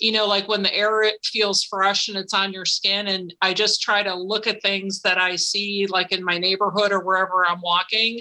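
A woman with an American accent speaks in a bright, sharp tone with little pitch movement. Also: medium pitch for a woman, moderate pace, few pauses.

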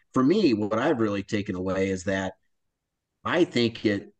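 In an American accent, a man speaks at a moderate pace. His pitch is fairly low. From US Midwest, north central Iowa. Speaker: forest service recreation manager. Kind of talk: interview.

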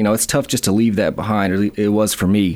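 Speaking at a very fast pace, a man has a fairly low pitch. He talks with an Alabama accent. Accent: Southern US (Alabama). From US South, northern Alabama (Huntsville/Madison). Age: 30s. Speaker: small business owner. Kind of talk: interview. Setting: radio studio.

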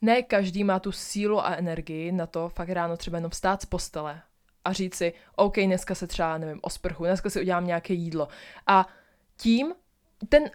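A woman with an unremarkable speaking voice talks at a moderate pace and medium pitch. The recording is very clean, with a silent background. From Ostrava, Czech Republic. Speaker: podcaster. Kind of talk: affirmation pep talk. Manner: warm, earnest and encouraging, repeating short affirmations directly to the listener.

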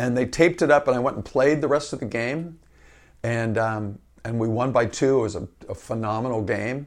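Recorded very cleanly against a silent background, a man with a plain, everyday voice speaks at a fairly quick pace and medium pitch, with ordinary pitch variation. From Northern California, Marin County. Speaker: associate athletic director and basketball coach. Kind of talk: interview.

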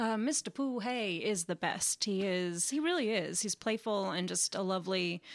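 With an American accent, an ordinary speaking voice shows ordinary pitch variation, captured in a very clean recording against a silent background. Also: woman. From Austin, Texas. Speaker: stage actor. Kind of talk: casual interview.

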